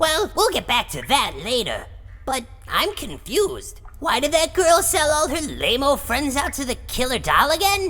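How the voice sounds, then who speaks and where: A woman's high-pitched, cartoonish character voice over light background noise. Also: moderate pace. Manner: questioning, bemused.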